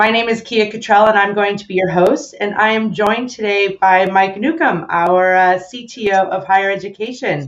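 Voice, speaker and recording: A woman talks at a moderate pace in an ordinary speaking voice, her pitch medium and its variation ordinary. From United States. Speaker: webinar host. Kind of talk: live webinar interview.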